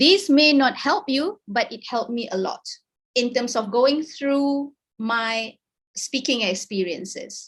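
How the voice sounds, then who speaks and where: With lively intonation and a high pitch, a woman talks at a fairly slow pace. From Malaysia. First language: Malay. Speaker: academic researcher, invited speaker. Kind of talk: webinar talk. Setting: video call.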